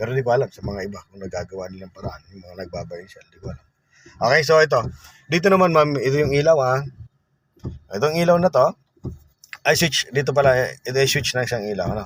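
A man with a fairly high, somewhat breathy voice talks very fast, with very wide pitch swings and big swings in loudness. Long pauses come often. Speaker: driving instructor. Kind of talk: tutorial. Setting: in a car.

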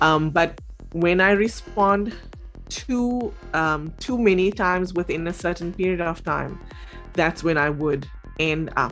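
Over faint music in the background, a woman talks at a fairly slow pace with ordinary pitch variation. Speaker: talk show guest. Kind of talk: interview answer. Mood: relaxed, conversational. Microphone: video call.

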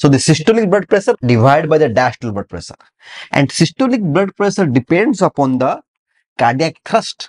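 A man is speaking at a fairly quick pace. The background is quiet. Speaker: medical lecturer. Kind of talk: lecture. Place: classroom.

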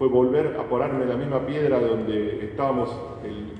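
A man is speaking, with audible room echo. Noticeable background noise runs under the recording. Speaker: war veteran. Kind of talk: testimony.

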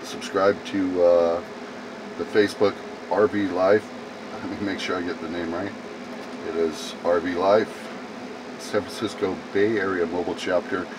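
A man speaks at a fairly slow pace. There is noticeable background noise. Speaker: mobile-lifestyle vlogger. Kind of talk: casual vlog chat. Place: home room.

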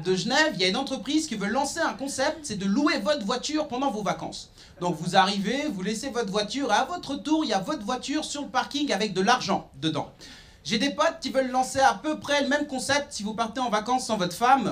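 With an animated, confident tone, a man talks at a fairly quick pace in an extremely high pitch. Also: lively intonation. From Nyon, Switzerland. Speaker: stand-up comedian. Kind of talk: stand-up comedy. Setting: stage with audience. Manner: animated, punchy delivery with cheeky, provocative punchlines; confident, conversational storytelling with sarcastic asides. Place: stage. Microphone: handheld.

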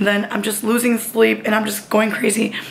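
Noticeable background noise sits behind a woman's strained voice. She speaks at a fairly high pitch in a flat monotone. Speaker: lifestyle vlogger. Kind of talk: casual vlog. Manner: strained, effortful.

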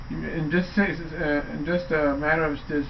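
There is light background noise as a man speaks with monotone, flat intonation. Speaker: vlogger. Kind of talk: casual vlog chat. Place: home room. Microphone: webcam.

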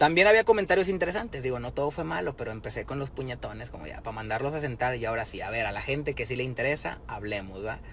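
A man with a Mexican accent talks at a very fast pace in an animated tone, with very wide pitch swings and hardly any pauses. The sound is dry with no echo, with light background noise. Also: medium pitch for a man. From Mexico. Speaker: rapper. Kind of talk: direct-to-camera video message. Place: car. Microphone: phone near.

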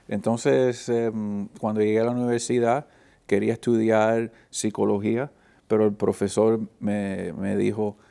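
Dark, mellow male voice at medium pitch, fairly even in intonation and fairly slow, over a quiet background. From Miami, Florida (Flagami); Florida. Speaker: film professor. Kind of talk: interview. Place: studio.

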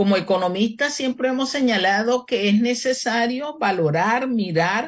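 Somewhat breathy, a woman speaks at a fairly high pitch with lively intonation. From Panama City, Panama. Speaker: economist and presidential candidate. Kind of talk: radio interview. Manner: formal.

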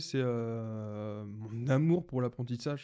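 The man's voice has a dark, mellow tone. His pitch varies in an ordinary way, and the background stays quiet. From Brittany, France. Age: 20s. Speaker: podcaster and entrepreneur; podcaster. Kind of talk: casual solo podcast monologue. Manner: halting, many fillers and restarts. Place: home room. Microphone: studio mic.

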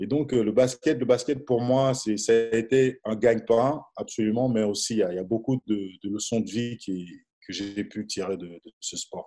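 Dark, mellow tone from a man at a fairly slow pace, with big swings in loudness. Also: ordinary pitch variation. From DR Congo. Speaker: basketball coach; basketball coach interviewee. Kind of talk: interview. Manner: halting. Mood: calm, reflective. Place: home room. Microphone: video call.

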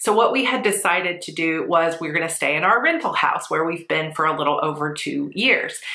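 Audible room echo surrounds a woman speaking at a moderate pace in a fairly low pitch. The background is quiet. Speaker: planner vlogger. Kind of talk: casual vlog chat. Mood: stressed but composed. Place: home room.

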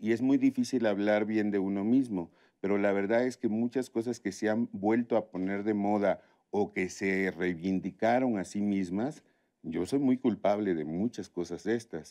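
Over a quiet background, a man speaks at a fairly slow pace in a dark, mellow tone, his fairly low pitch showing ordinary variation. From Tabasco, Mexico. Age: 50s. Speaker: chef; interview guest. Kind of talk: interview conversation. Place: studio.

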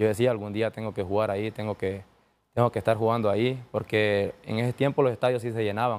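In a fairly low pitch, a man talks at a very fast pace with monotone, flat intonation. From Honduras. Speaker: professional footballer (defender); guest. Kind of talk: interview. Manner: halting, with many repetitions. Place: studio. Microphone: lapel.

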